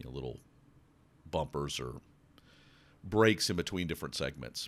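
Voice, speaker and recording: A man's very deep, low voice with vocal fry and lively intonation. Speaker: podcast host. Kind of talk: podcast monologue. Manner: casual, conversational.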